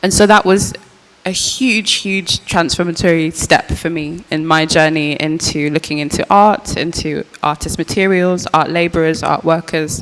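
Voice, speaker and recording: A woman with a Birmingham accent speaks at a moderate pace and a fairly low pitch, varying it in an ordinary way. Background noise is noticeable. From English Midlands, Birmingham. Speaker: artist, curator and archivist. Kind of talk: panel discussion. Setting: post-screening panel with audience.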